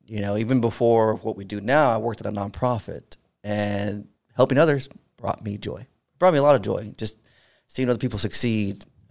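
With a normal speaking voice, a man talks at a fairly quick pace and medium pitch, using ordinary pitch variation and big swings in loudness. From Houston, Texas. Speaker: army veteran and podcast host. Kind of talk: casual interview.

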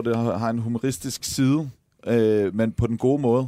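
A man with a medium pitch and a dark, mellow tone speaks with ordinary pitch variation, in a dry, close sound with no echo. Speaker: TV host and former footballer. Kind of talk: casual chat. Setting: studio.

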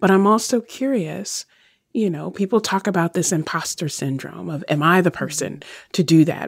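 Lively intonation and vocal fry run through this moderately paced voice, recorded very cleanly over a silent background. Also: woman, fairly low pitch for a woman. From Virginia. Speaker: radio show host. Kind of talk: interview conversation.

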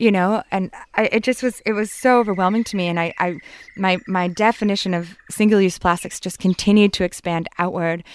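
Fairly even intonation comes through in a very clean recording with a silent background. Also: woman, medium pitch for a woman, fairly quick pace. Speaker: environmental activist. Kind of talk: interview conversation. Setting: outdoors. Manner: hesitant, repeats words.

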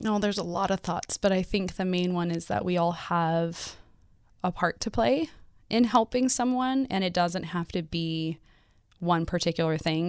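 At a moderate pace and fairly low pitch, a woman with an unremarkable speaking voice talks with ordinary pitch variation in a very clean recording with a silent background. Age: 30s. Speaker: former foster youth and advocate with a PhD. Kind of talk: interview. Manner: laughs often.

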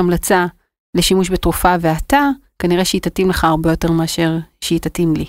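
A woman's medium-pitched voice, an unremarkable speaking voice. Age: 40s. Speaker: startup founder and CEO. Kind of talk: interview.

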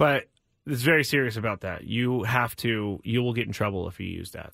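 A man talks at a medium pitch. His pitch varies in an ordinary way, and the recording is very clean with a silent background. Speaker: sports radio host. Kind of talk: live sports talk radio patter, rapid-fire riffing on local teams and news. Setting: radio studio, also streamed on video. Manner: animated; conversational.

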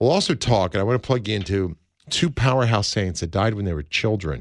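The background stays quiet as a man speaks at a fairly quick pace. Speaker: radio host. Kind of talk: talk radio. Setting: studio. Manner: animated.

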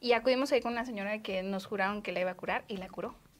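An ordinary speaking voice from a woman at medium pitch, with ordinary pitch variation. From Mexico, Guadalajara. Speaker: podcast host. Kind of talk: casual interview.

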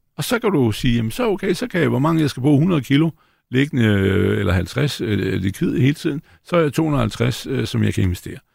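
Speaking at a moderate pace with vocal fry, a man with a medium pitch swings his voice very widely, on a very clean recording with a silent background. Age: 60s. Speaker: stock analyst. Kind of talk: panel discussion. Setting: studio.

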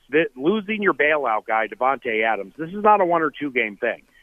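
This man talks at a very fast pace with an American accent. His pitch swings very widely. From Washington D.C. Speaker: radio play-by-play announcer. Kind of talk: radio interview. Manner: animated.

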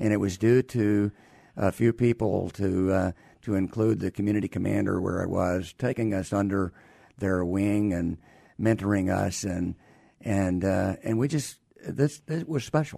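In a Southern US accent, the voice carries a dark, mellow tone. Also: man, fairly low pitch for a man, ordinary pitch variation, moderate pace. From US South, Alabama. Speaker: retired army doctor and care company executive. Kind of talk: interview. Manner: halting.

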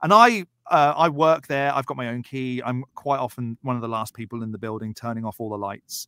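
With a southern English accent, a man talks at a fairly quick pace with hardly any pauses, his pitch medium and his tone bright and sharp. His loudness swings widely, and the sound is dry and close with no echo. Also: ordinary pitch variation. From southern England, Berkshire. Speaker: YouTuber, atheist commentator. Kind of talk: casual chat.

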